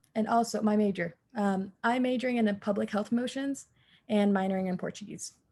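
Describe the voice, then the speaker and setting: Fairly high in pitch and somewhat breathy, a woman with an American accent talks at a fairly quick pace in a dark, mellow tone with fairly even intonation. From Georgia, US (Forsyth County). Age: young. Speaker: university student. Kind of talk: casual introduction on video call.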